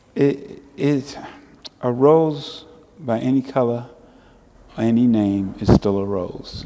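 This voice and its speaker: Over noticeable background noise, a man with a medium pitch talks at a very slow pace, with ordinary pitch variation and long, frequent pauses. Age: 70s. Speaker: civil rights activist and artist. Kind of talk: casual interview. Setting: art show and book signing venue.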